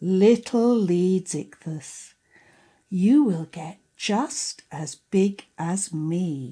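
A woman uses a cartoonish character voice at medium pitch. She speaks at a very slow pace. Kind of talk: children's storytelling. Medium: puppet show. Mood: warm and proud.

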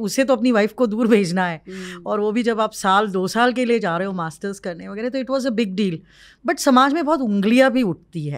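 Against a quiet background, a woman with a fairly high voice speaks at a moderate pace, her intonation lively. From Maharashtra, India (village). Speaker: social entrepreneur and lawyer; lawyer. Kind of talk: interview. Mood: emotional, reflective storytelling. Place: studio. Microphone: studio mic.

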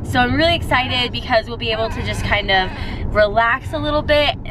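Over noticeable background noise, a woman talks at a fairly quick pace with ordinary pitch variation, the sound dry with no echo. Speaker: family vlogger. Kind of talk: casual vlog chat. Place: car. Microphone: phone near.

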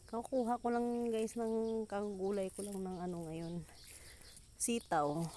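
Her pitch is medium and her pitch variation ordinary as a woman talks at a very slow pace. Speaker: farmer vlogger. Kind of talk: casual vlog narration. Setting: outdoors on a farm.

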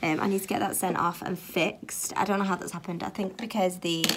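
Pitch moves in an ordinary way. The delivery comes at a fairly quick pace. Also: woman.

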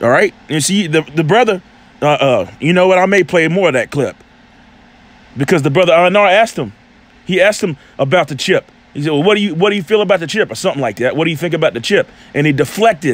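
A man talks at a very fast pace with a high pitch. His tone is animated and his intonation lively. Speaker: religious commentator on video channel. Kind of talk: casual commentary with scripture teaching.

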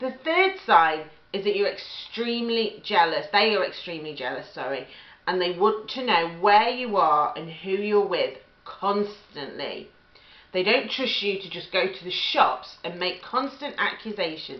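At a fairly slow pace, a woman speaks with big swings in loudness amid audible room echo. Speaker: relationship advice vlogger. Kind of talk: advice talk to camera. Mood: earnest, empathetic. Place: kitchen. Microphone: webcam.

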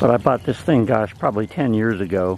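A man speaks at a moderate pace, the sound dry with no echo and light background noise. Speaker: ham radio hobbyist. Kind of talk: casual tutorial demo. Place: garden.

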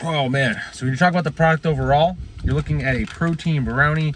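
Light background noise accompanies a man talking at a moderate pace. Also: dry sound with no echo. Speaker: fitness reviewer. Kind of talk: casual vlog chat. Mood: relaxed, casual, swearing. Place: car. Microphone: phone near.

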